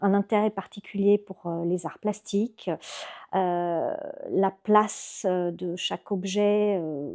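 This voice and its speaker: A woman's medium-pitched voice, dark and mellow in tone, very slow and monotone, with dry, close sound, no echo, and a very clean recording over a silent background. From Belgium (Brussels), Greek family. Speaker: architect. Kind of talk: podcast interview. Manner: hesitant, many filler sounds.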